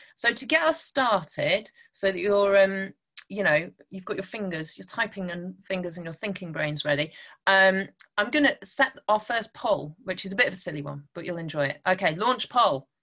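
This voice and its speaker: A woman's bright, sharp voice with big swings in loudness, lively intonation and a moderate pace, over a quiet background. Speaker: guest. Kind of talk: online talk to children. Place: home room. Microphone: webcam.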